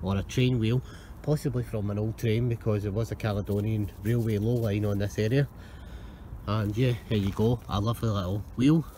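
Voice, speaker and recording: Long, frequent pauses from a man with a fairly low, somewhat breathy voice in a dark, mellow tone, fairly even intonation, a dry sound with no echo, and light background noise. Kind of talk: casual vlog commentary. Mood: pleased, curious. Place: beach. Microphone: phone near.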